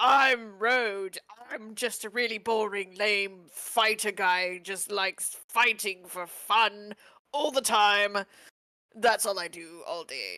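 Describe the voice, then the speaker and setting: In a put-on character voice, a female-sounding speaker talks at a fairly slow pace and a medium pitch. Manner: flat, dull, deliberately bland.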